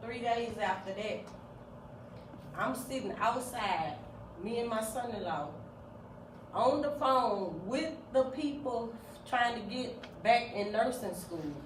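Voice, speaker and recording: Against noticeable background noise, a woman with a fairly high voice speaks at a very slow pace with lively intonation. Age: 50s. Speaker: business owner. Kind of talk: talk to a class. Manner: candid, conversational.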